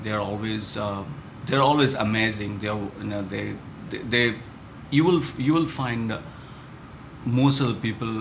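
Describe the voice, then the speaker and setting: A man at a medium pitch, moderate pace and ordinary pitch variation, with long, frequent pauses and audible room echo. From India, Chennai. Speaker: startup founder. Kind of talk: interview. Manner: halting, many fillers.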